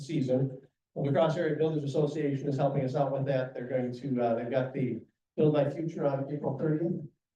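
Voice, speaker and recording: A man's fairly high pitch at a fairly quick pace, with monotone, flat intonation and audible room echo. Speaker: guest speaker from a holiday lights charity. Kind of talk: club presentation with Q&A. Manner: fast.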